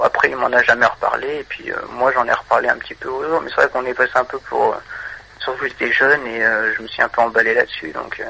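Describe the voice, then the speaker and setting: The speech comes at a very fast pace amid noticeable background noise. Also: man. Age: 20s. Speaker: caller. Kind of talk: testimony. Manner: halting.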